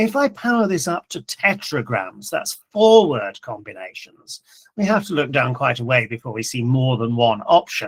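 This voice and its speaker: A somewhat breathy voice with very wide pitch swings and a dry, close sound with no echo. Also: man, fairly high pitch for a man. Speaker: professor of computing education. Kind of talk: conference talk with live demo. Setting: conference session. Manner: fast.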